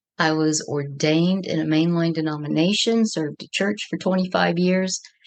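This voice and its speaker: In an unremarkable speaking voice, a woman with a fairly low pitch talks at a moderate pace with fairly even intonation. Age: 60s. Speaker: ordained minister, guest sharing trauma story. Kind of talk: interview testimony.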